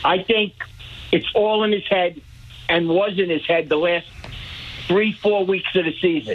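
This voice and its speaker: Over noticeable background noise, a man with an American accent speaks in a high voice at a moderate pace, with ordinary pitch variation. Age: 70s. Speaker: caller, lifelong baseball fan. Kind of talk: call-in radio. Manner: halting.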